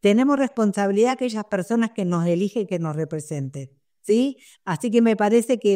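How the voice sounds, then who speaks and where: A woman's medium-pitched, dark, mellow voice, lively in intonation, at a moderate pace against a quiet background. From Argentina. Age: 70s. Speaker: sex worker activist. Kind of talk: panel discussion. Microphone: webcam.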